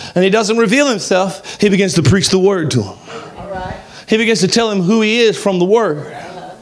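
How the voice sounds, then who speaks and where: Over light background noise, a man with an American accent speaks at a high pitch in an animated tone. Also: ordinary pitch variation, moderate pace. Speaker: pastor. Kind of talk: sermon. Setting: church. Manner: animated, exhortative. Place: church. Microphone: handheld.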